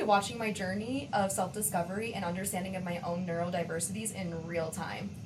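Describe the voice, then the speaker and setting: A woman with an American accent at a fairly quick pace and medium pitch, amid audible room echo and noticeable background noise. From Western New York, US. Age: 20s. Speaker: podcast co-host, nurse practitioner. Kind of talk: casual podcast chat.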